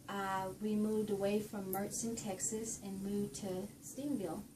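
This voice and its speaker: A fairly slow woman's voice in a Southern US accent, medium in pitch, with audible room echo and noticeable background noise. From Louisiana, Ruston. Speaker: university administrator. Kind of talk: interview.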